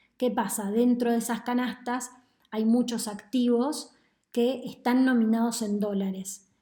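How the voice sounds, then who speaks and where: A woman speaks fairly slowly in a fairly high, dark and mellow voice, with flat, monotone intonation. Her loudness stays very even, and room echo is audible. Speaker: economist. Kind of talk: lecture.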